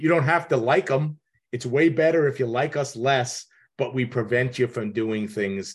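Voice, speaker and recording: A man speaks at a moderate pace with a medium pitch and ordinary pitch variation. His voice is somewhat breathy against a quiet background. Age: 60s. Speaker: kitchen designer and podcast host. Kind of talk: advice call-in conversation.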